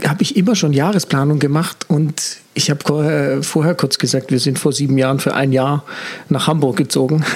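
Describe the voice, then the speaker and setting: A man talks at a moderate pace, his pitch fairly high. Noticeable background noise sits behind him. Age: 40s. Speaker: communication consultant and mentor. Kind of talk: casual interview.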